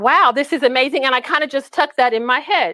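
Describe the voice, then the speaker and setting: A raised, projected voice at a very fast pace, bright and sharp in tone, with a dry, close sound and no echo. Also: woman. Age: 60s. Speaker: health educator. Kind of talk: presentation.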